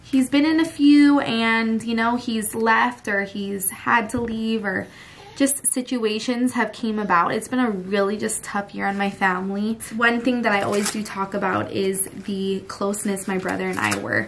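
There is light background noise as a woman talks at a moderate pace with hardly any pauses. Her pitch variation is ordinary. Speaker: family vlogger. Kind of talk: casual vlog chat. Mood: serious, emotional family topic. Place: home room. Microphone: phone near.

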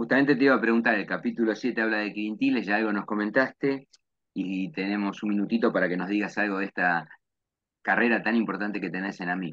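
With a Rioplatense accent, a man talks at a very fast pace in a fairly low voice with ordinary pitch variation over a quiet background. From Argentina, Lomas de Zamora; Argentina. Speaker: university professor and event host; university professor, event host. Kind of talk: interview. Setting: video call. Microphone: webcam.

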